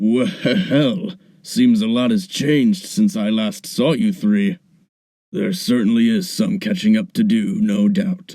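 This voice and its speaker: The voice is a put-on character voice with very wide pitch swings. Its pace is fairly slow. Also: man, high pitch for a man. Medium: audio drama. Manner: warm, storytelling.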